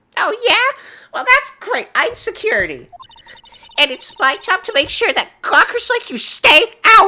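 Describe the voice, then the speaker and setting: A woman puts on a character voice at an extremely high pitch, with very wide pitch swings. She speaks at a moderate pace. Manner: annoyed, dismissive.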